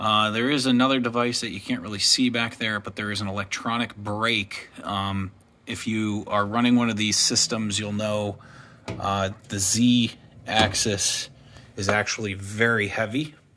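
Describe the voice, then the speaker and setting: A man speaks at a fairly slow pace in a fairly low pitch. His intonation is monotone and flat, with light background noise. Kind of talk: casual shop tour explanation. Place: workshop. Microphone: phone near.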